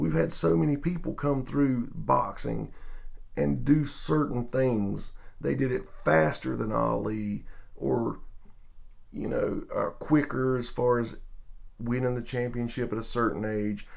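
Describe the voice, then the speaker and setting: At a fairly slow pace, a man with a Southern US accent speaks amid audible room echo. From US South. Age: middle-aged. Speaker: sports vlogger. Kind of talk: video tribute monologue. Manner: casual, hesitant.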